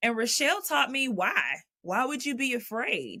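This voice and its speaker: A woman with a Southern accent speaks at a fairly slow pace in a fairly high, bright and sharp voice, her intonation lively and her tone animated, on a very clean recording with a silent background. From Texas (Dallas). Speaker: jazz vocalist. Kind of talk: interview conversation.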